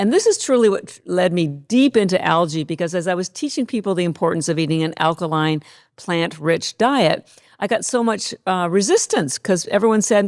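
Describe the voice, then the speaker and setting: A woman with an unremarkable speaking voice talks at medium pitch and a moderate pace on a very clean recording with a silent background. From Canada. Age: 60s. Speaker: company founder. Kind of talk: podcast interview.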